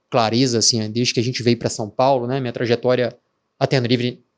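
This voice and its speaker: A man talks at a medium pitch. His delivery is monotone and flat. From Minas Gerais, Brazil. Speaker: tech startup founder. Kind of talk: podcast interview. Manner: hesitant, many filler words.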